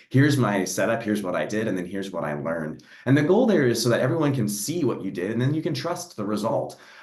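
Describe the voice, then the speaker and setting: A man at a very fast pace with very wide pitch swings, over noticeable background noise and audible room echo. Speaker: NASA program executive for data. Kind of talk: panel discussion.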